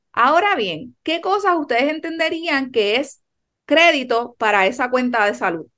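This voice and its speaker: A woman speaks at a high pitch with a bright, sharp tone, very wide pitch swings and a fairly slow pace. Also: quiet background. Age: 30s. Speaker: chiropractor and podcast host. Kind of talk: casual chat.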